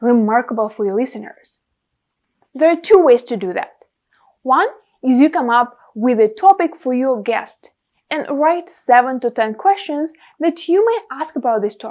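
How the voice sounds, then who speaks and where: A woman with a Russian accent speaks at a moderate pace, her high voice carrying lively intonation. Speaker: podcast host and content creator. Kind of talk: tutorial.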